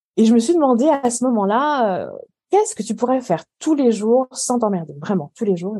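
Talking at a fairly quick pace, a woman with a fairly high pitch and a dark, mellow tone uses lively intonation. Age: 40s. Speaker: culinary and organisation coach. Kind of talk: casual interview.

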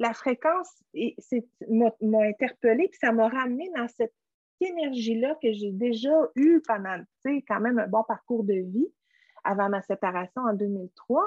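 Speaking at a very slow pace with lively intonation, a woman with a fairly high pitch and a Quebec accent comes through in a dry, close sound with no echo. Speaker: essential oil entrepreneur. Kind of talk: interview conversation. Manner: halting.

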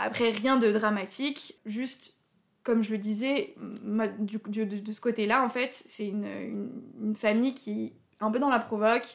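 A woman with a fairly high pitch talks at a fairly slow pace, her intonation fairly even and her speech broken by long, frequent pauses. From Alsace, France (Haut-Rhin). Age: 20s. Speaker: convert to Judaism. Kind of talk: personal testimony interview. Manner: hesitant, many fillers.

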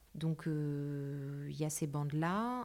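A woman speaks in a very deep, low voice. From Paris, France. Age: 30s. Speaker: interior architect. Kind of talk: casual interview.

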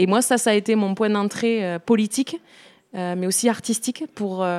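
A woman has a plain, everyday voice at a medium pitch. Her intonation is fairly even. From Béarn, southwest France. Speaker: musician and singer. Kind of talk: casual interview.

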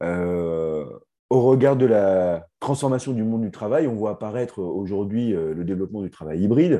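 Over a quiet background, a man with a dark, mellow tone and fairly low pitch speaks at a moderate pace with lively intonation. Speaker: podcast host. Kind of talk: interview hosting.

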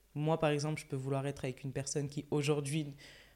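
A woman speaks in a very deep, low voice with a dark, mellow tone. The recording is very clean, with a silent background. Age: 20s. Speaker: influencer and content creator. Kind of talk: casual chat.

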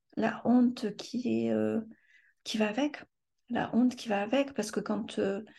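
Her voice has a fairly high pitch, a dark, mellow tone and a somewhat breathy quality. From France. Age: 50s. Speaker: trauma survivor. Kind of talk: testimony. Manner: halting.

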